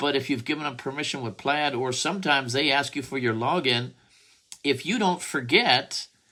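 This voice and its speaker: A man with a bright, sharp tone speaks at a moderate pace with ordinary pitch variation. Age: 70s. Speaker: debt settlement advisor. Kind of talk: direct-to-camera business explainer. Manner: casual, repetitive with fillers and restarts.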